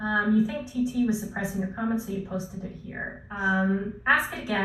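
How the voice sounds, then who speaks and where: Speaking at a fairly high pitch, a woman is heard with audible room echo. Noticeable background noise runs underneath. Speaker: online course creator. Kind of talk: live stream Q&A. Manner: fast; filler words.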